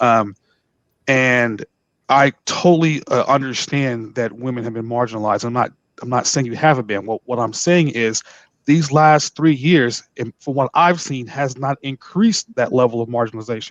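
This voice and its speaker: A man speaks at a moderate pace with a medium pitch and ordinary pitch variation. The sound is dry and close, with no echo. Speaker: lawyer. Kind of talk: panel discussion. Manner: loud; halting, repeats words.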